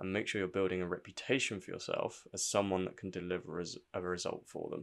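Very clean recording with a silent background, in which a man speaks at a fairly quick pace with a fairly low pitch. He has an unremarkable speaking voice. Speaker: personal branding podcaster. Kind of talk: solo scripted-style podcast monologue with tips. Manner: informal, conversational, with fillers.

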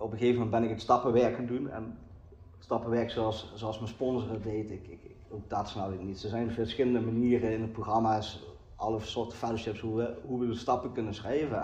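Audible room echo surrounds a man talking at a fairly quick pace. His medium-pitched voice is somewhat breathy, with monotone, flat intonation. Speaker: recovering addict sharing at a meeting. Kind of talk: recovery meeting testimony. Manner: halting, many repetitions and fillers.

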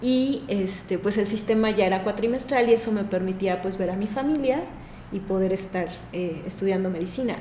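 With audible room echo around it, the voice shows ordinary pitch variation. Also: woman, medium pitch for a woman, moderate pace. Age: 50s. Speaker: physician. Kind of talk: interview.

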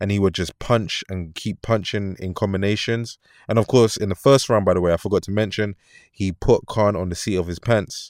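In a London accent, a man speaks at a fairly low pitch and a moderate pace. The recording is very clean with a silent background and a dry, close sound with no echo. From London, England. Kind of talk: solo commentary monologue. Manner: energetic, motivational.

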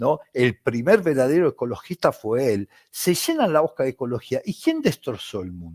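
It's a man's voice, dry and close with no echo, on a very clean recording with a silent background. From Italy. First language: Italian (speaking Spanish). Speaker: football commentator. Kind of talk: interview. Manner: animated.

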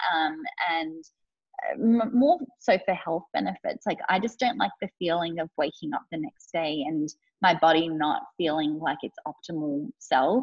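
Her voice is a plain, everyday voice, a woman's at a fairly low pitch, speaking fairly slowly with lively intonation. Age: 30s. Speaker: life coach and HR manager. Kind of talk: casual interview.

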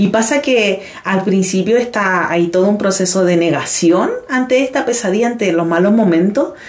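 A woman talks at a moderate pace. Her loudness stays very even over noticeable background noise. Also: medium pitch for a woman, ordinary pitch variation, hardly any pauses. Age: 30s. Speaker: dancer and teacher. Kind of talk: casual interview.

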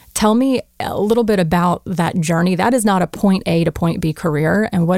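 A woman's ordinary speaking voice, fairly low in pitch, at a moderate pace with ordinary pitch variation. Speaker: podcast co-host. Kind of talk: scripted intro then interview.

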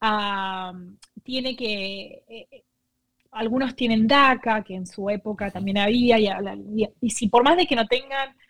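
A woman talks at a very slow pace with a fairly high pitch and ordinary pitch variation. Her loudness swings widely. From Argentina. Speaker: nonprofit co-founder. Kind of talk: interview. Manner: halting.

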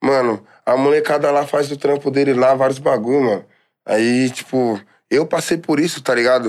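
A man with an unremarkable speaking voice, fairly high in pitch, at a fairly quick pace. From São Paulo East Zone, Brazil. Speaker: funk singer. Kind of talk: casual chat.

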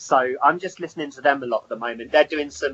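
A man speaks with a southern English accent. His pitch is fairly high and his pace fairly quick. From Hertfordshire, England. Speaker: rock musician. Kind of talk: interview. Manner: hesitant, many fillers.

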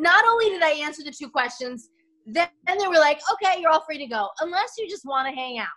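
Her raised, projected voice is high-pitched and bright and sharp, as this woman uses lively intonation and big swings in loudness. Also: fairly quick pace. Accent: American. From Denver, Colorado. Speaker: actress. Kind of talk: casual chat.

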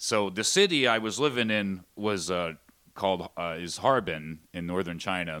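Very deep, low-pitched male voice in a Pennsylvania accent, bright and sharp in tone, with ordinary pitch variation and a very clean recording over a silent background. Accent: Pennsylvania American. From Pennsylvania coal region (Shamokin). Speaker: pro wrestling ring announcer. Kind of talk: casual interview.

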